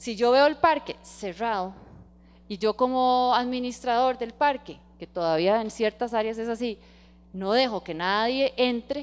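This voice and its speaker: A woman's lively intonation at a fairly slow pace. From Costa Rica. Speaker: environmental lawyer, guest lecturer. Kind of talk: lecture. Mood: engaged, enthusiastic. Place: hall. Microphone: handheld.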